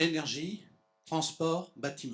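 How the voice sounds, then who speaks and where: Speaking very slowly in a fairly high register with vocal fry, a man keeps his intonation fairly even. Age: 70s. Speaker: association founder, conference speaker. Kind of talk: lecture. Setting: conference hall with audience. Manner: halting.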